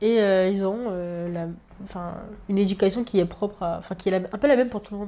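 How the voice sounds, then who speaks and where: At a very fast pace, a woman with a medium pitch and a dark, mellow tone keeps her intonation fairly even while her loudness swings widely. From Réunion, Le Chaudron district. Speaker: university student. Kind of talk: casual chat. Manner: hesitant, many fillers.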